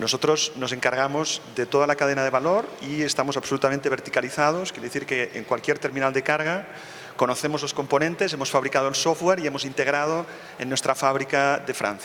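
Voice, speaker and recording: Noticeable background noise sits behind a man speaking at a fairly high pitch. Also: fairly even intonation. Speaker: business executive, panelist. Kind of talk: panel discussion. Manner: frequent filler hesitations.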